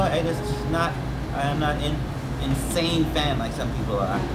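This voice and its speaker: Loud background noise fills the recording. The speech comes at a fairly slow pace. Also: man. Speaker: personal vlogger. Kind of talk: casual vlog chat. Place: home room.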